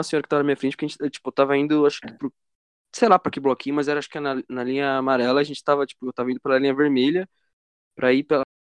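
A man talks at a very fast pace in a fairly high pitch. The sound is dry and close, with no echo. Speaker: podcast co-host. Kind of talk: casual chat.

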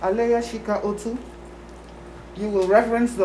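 Noticeable background noise is present throughout. Over it, a woman talks at a moderate pace. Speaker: grandmother. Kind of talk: blessing. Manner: solemn; formal.

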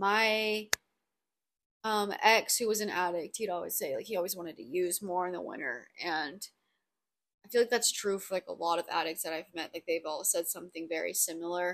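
A woman speaks at a moderate pace in a raspy voice with a fairly bright tone and a fairly low pitch. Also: ordinary pitch variation.

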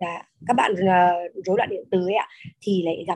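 A woman with a dark, mellow tone speaks at a very fast pace. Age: 30s. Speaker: class participant, mother. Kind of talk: testimony. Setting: video call.

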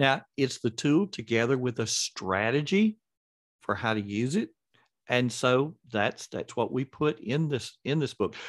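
Speaking at a fairly slow pace, a man at medium pitch has lively intonation and a plain, everyday voice, recorded with a dry, close sound with no echo over a quiet background. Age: 60s. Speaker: author and educator. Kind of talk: interview.

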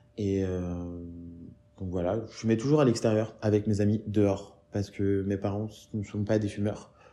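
A man with a fairly low voice speaks at a very slow pace and with fairly even intonation while music plays in the background. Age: 20s. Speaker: interviewee, smoker. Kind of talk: interview testimony. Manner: halting, many repetitions.

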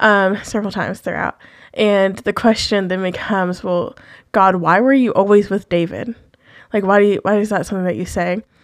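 On a very clean recording with a silent background, a woman with an unremarkable speaking voice talks fairly quickly at medium pitch with fairly even intonation. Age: 20s. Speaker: podcast co-host. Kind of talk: casual chat.

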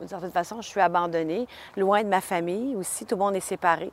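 In a dry, close sound with no echo, a woman speaks at a moderate pace with a medium pitch and fairly even intonation. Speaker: faith testimony guest. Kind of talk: testimony. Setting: outdoors.

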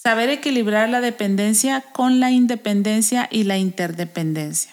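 A woman with a plain, everyday voice speaks at a moderate pace, her pitch fairly high with ordinary variation, in a very clean recording with a silent background. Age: 40s. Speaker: podcast host. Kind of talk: casual chat about a self-help book.

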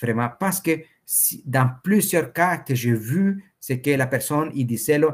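The speaker has a Spanish accent and a somewhat breathy voice with ordinary pitch variation. The pace is fairly slow, and the recording is very clean with a silent background. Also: man. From El Salvador. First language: Spanish (speaking French). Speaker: entrepreneur and Bitcoin enthusiast. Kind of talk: interview.

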